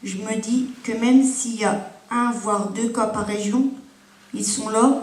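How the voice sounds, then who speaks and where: A woman's fairly high, flat monotone voice, with audible room echo and noticeable background noise. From Ardennes, northeastern France. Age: 30s. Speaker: patient giving testimony. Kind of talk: testimony. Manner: halting.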